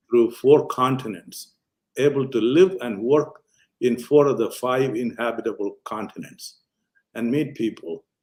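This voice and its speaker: Speaking fairly slowly in an Indian accent, a man at medium pitch shows ordinary pitch variation and big swings in loudness. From Kerala, India. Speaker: physician. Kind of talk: interview answer.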